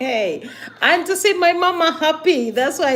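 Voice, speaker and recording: A woman's animated voice with very wide pitch swings at a moderate pace, over noticeable background noise. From Uganda. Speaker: vlogger, migrant worker. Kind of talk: casual livestream monologue.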